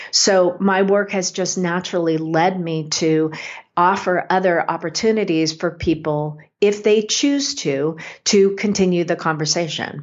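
Speaking at a fairly slow pace, a woman with a normal speaking voice keeps a fairly low pitch and ordinary pitch variation. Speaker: spiritual medium and author. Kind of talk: interview chat. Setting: radio interview.

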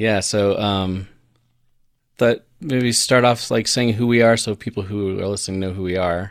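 In an ordinary speaking voice, a man with an American accent talks at a moderate pace. His pitch is fairly low and his intonation fairly even. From Colorado. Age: 40s. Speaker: podcast co-host, former missionary. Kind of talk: casual chat.

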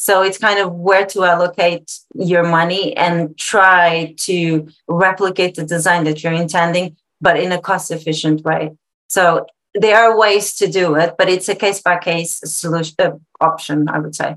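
A woman talks in a Portuguese accent with fairly even intonation. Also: fairly low pitch for a woman, moderate pace. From Portugal. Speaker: interior designer. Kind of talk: casual interview.

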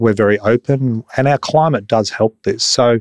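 A man with an Australian accent, in a dry, close sound with no echo. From Brisbane, Australia. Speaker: architect. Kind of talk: interview.

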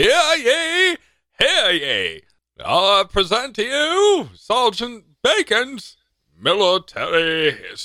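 Putting on a character voice, a man speaks very slowly at an extremely high pitch with very wide pitch swings, on a very clean recording with a silent background. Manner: pompous, announcing.

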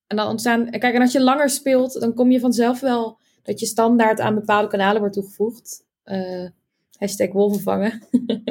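In an ordinary speaking voice, a woman with a fairly high pitch talks at a moderate pace with fairly even intonation. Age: 20s. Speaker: game player. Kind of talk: casual chat.

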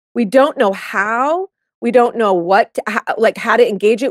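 In a dry, close sound with no echo, a woman with a fairly high pitch speaks in an animated tone with lively intonation at a moderate pace. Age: 40s. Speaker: life coach. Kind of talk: casual chat.

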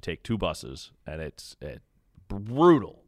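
There is vocal fry as a man speaks at a moderate pace. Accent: American. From Kansas City. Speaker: radio baseball play-by-play announcer. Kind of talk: casual interview chat.

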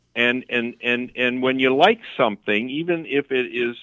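Ordinary pitch variation and a moderate pace from a man with a normal speaking voice. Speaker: counselor. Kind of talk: casual chat.

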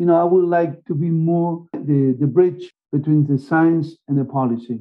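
A man with a high pitch speaks in a Spanish accent. His pace is moderate, with ordinary pitch variation. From Argentina. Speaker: marine biologist. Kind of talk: interview.

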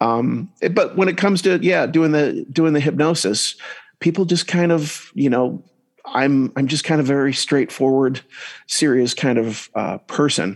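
An ordinary speaking voice with an American accent moves at a fairly slow pace, keeping a very even loudness and ordinary pitch variation. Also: man, fairly high pitch for a man. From US Northeast. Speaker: hypnotist and comedian. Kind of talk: casual interview chat. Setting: video call, remote from host.

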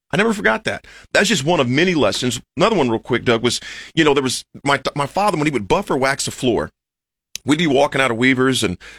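In an American accent, a man talks with an animated tone at a medium pitch and a fairly quick pace, recorded very cleanly, dry and close with no echo over a silent background. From Nebraska, US (Lincoln). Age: 40s. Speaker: motivational speaker, former college football player. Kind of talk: interview storytelling. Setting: radio studio.

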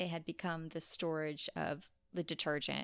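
A woman with a fairly low pitch and an unremarkable speaking voice is heard on a very clean recording over a silent background. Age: 30s. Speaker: podcast host and mental health advocate. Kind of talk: personal testimony interview; casual chat.

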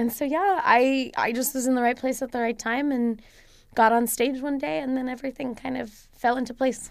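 The speaker talks at a moderate pace with ordinary pitch variation and an American accent. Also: woman, high pitch for a woman. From Egypt and the US. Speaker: stand-up comedian and data scientist. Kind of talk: casual interview.

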